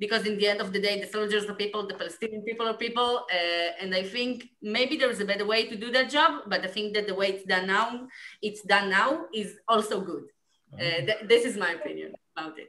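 In an Israeli accent, a woman speaks at medium pitch with ordinary pitch variation and a bright, sharp tone. Her pace is fairly quick, and her loudness swings widely. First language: Hebrew. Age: 20s. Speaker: former soldier, film subject. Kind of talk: panel Q&A. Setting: video call. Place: home room. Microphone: video call.

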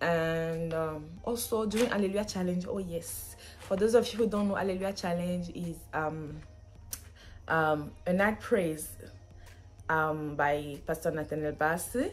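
Faint music plays behind a woman who talks at a fairly slow pace in a fairly low voice with ordinary pitch variation. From Benin. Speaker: student, vlogger. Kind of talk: casual talk to camera. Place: home room. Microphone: phone near.

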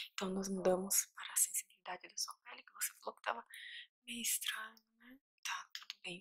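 Whispering, a woman speaks in a calm tone. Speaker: ASMR roleplay doctor. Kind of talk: asmr roleplay. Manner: slow, calm, reassuring. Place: home room. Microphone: studio mic.

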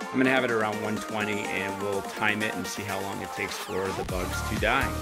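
Over loud music in the background, a man talks with ordinary pitch variation. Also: moderate pace. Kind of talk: demonstration commentary. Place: kitchen. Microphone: phone near.

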